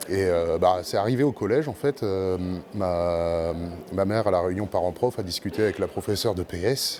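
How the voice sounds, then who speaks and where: Noticeable background noise behind a man's moderate pace and ordinary pitch variation. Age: 30s. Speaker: blind para judo athlete. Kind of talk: interview. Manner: hesitant, many fillers.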